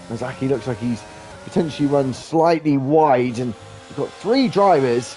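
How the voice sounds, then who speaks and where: A man talks in a British accent at a fairly high pitch with lively intonation. Music plays in the background. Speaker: sim racing commentator. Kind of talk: live commentary. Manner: animated.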